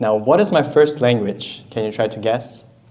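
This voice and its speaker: In a room with audible echo, a man speaks at a moderate pace. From southern Ukraine, Kherson. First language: Russian. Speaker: guest speaker. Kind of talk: lecture.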